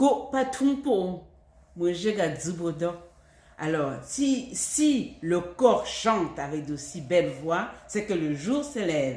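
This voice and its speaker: A woman speaks very slowly in a Cameroonian accent. Her fairly low pitch swings very widely. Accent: Cameroonian, Baham region. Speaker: language teacher. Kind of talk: language lesson.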